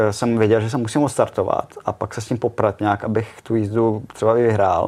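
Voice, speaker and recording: A man at a medium pitch speaks at a moderate pace with monotone, flat intonation. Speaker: retired speedway rider. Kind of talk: casual interview.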